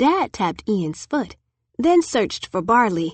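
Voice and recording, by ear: Reading aloud in a natural voice, the speaker is heard against a quiet background.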